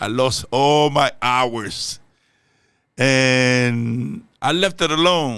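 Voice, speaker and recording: A man talks at a very slow pace and medium pitch with a bright, sharp tone on a very clean recording with a silent background. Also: ordinary pitch variation. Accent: Spanish. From Dominican Republic. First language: Spanish. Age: old. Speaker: reaction youtuber. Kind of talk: casual chat. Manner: halting.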